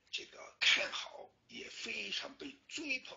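This is a man speaking. His pace is very slow. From Sichuan, China. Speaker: talk show host. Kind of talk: casual chat. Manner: halting, many fillers.

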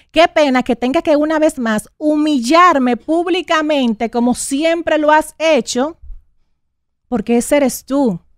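A woman speaks at a fairly slow pace with lively intonation. The sound is dry with no echo, and the background is quiet. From Dominican Republic, Santo Domingo area. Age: 30s. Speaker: radio host. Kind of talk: on-air personal statement; emotional talk show statement. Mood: hurt, indignant, confrontational. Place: studio. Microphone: studio mic.

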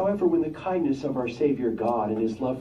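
Lively intonation in a plain, everyday voice. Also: man. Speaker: congregation member. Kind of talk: Bible reading aloud.

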